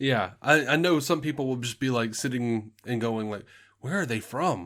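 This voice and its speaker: Here a man talks in a Southern US accent at a medium pitch. His pace is moderate, with ordinary pitch variation. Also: very clean recording, silent background. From US South, Alabama. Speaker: podcast host. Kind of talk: casual chat.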